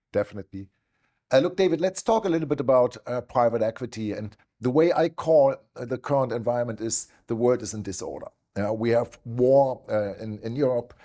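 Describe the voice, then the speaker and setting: Speaking at a fairly quick pace, a man has a dark, mellow tone, medium pitch and ordinary pitch variation. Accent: German. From Germany. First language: German. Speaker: investment platform founder and interviewer. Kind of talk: interview. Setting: office in New York.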